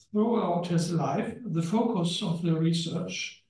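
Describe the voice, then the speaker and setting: Here a man speaks fairly slowly, his pitch high for a man and his tone dark and mellow. Audible room echo surrounds the voice. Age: old. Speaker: historian. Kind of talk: lecture. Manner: halting.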